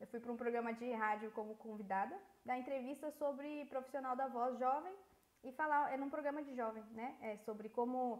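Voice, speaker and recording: This woman's voice is high-pitched, with ordinary pitch variation. She keeps a moderate pace. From Brazil. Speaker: voice-over artist and voice actress. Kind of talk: interview. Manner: animated.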